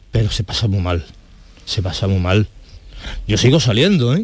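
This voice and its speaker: Very wide swings in pitch run through the speech of this man. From Seville. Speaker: firefighter awaiting kidney transplant. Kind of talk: testimony. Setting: studio.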